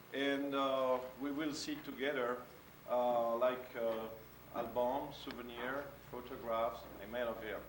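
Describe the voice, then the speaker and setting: A man's fairly high voice with a French accent, audible room echo and noticeable background noise. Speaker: photographer. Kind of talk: illustrated talk. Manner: halting.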